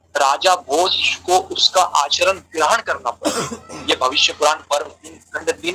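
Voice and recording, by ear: Bright and sharp in tone with a slightly husky edge, a man speaks at a fairly high pitch with ordinary pitch variation.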